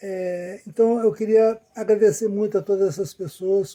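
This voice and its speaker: A high-pitched male voice, dark and mellow in tone, at a fairly slow pace with fairly even intonation. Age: 70s. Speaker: cycling pilgrim. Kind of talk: casual talk to camera.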